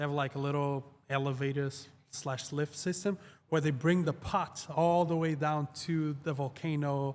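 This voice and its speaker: A man with a Portuguese accent, fairly high-pitched and monotone, at a moderate pace, on a very clean recording with a silent background. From Portugal, Lisbon area. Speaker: YouTube creator. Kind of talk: casual chat.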